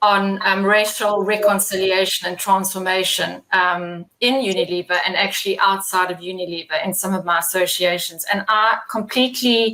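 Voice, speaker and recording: Hardly pausing, a woman speaks in a South African accent. Her intonation stays fairly even. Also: medium pitch for a woman, moderate pace. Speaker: employer panelist on diversity. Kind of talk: panel discussion.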